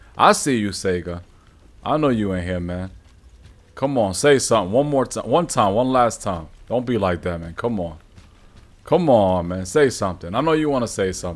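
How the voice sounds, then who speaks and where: The speaker talks at a moderate pace with an American accent and lively intonation. Long pauses come often. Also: man, fairly low pitch for a man. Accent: Brooklyn New York accent, slightly fading. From New York. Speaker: gaming streamer. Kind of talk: live gameplay stream chat. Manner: casual, animated. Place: home room. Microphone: studio mic.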